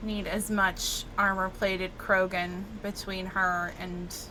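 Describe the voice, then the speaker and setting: At a very slow pace, a woman with an American accent speaks in a medium pitch with monotone, flat intonation. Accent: Southern US accent, sometimes faint. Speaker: gaming streamer. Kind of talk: live gameplay commentary. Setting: live stream. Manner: casual, chatty.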